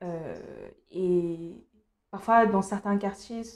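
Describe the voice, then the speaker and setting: A woman's voice of medium pitch. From Cameroon. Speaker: beauty youtuber. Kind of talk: casual vlog monologue. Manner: hesitant, many fillers.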